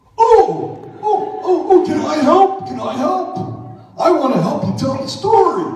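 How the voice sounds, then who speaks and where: A man's cartoonish character voice at an extremely high pitch, fairly slow pace and strong echo. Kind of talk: church puppet show for children. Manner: excited, playful.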